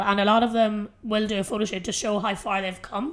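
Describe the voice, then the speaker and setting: A woman at a medium pitch, very fast pace and fairly even intonation, with a strong Irish accent. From Ireland. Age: 30s. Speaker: fitness coach and podcast host. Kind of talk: solo podcast monologue. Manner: casual, filler-heavy.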